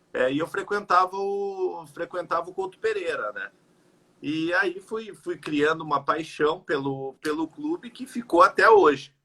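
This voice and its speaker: A raised, projected voice with a bright, sharp tone speaks at a fairly slow pace, its lively intonation paired with big swings in loudness. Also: man, high pitch for a man. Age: 30s. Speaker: football fan. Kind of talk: casual interview chat. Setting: Instagram live video call.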